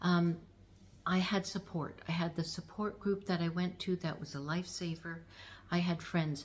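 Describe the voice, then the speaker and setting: A woman speaks fairly slowly in a fairly low, somewhat breathy voice. Her intonation is monotone and flat. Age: 60s. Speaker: lifestyle vlogger. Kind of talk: casual talk to camera. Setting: at home.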